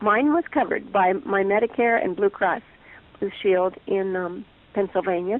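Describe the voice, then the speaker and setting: Using a plain, everyday voice, a woman speaks at a medium pitch and a moderate pace. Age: 60s. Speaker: chronic pain patient. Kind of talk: interview testimony.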